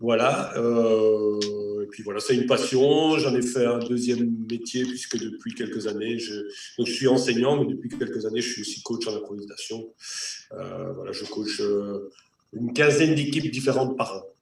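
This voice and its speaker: A man with a slight Belgian accent speaks at a moderate pace in a medium pitch. His intonation stays fairly even, and audible room echo surrounds the voice. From Belgium. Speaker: improv actor and coach. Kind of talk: casual chat.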